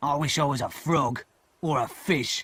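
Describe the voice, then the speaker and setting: A man does a gruff, growling put-on character voice at a fairly high pitch. He holds a moderate pace and fairly even intonation. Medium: read story. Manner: threatening, gruff.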